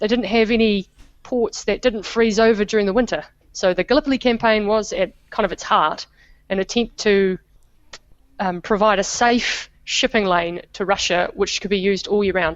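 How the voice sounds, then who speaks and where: With a New Zealand accent, a woman speaks at a medium pitch and a moderate pace, her intonation fairly even. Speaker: historian. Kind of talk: interview.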